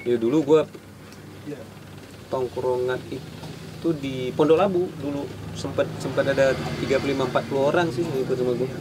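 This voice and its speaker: With noticeable background noise behind him, a man at medium pitch speaks with fairly even intonation and long, frequent pauses. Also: moderate pace. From Malaysia. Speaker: guitarist and graphic designer. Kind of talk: casual chat.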